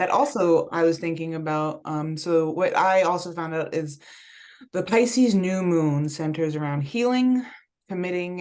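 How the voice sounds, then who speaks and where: A woman's plain, everyday voice, fairly low in pitch, with lively intonation at a moderate pace. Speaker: spiritual wellness host. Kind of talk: casual chat.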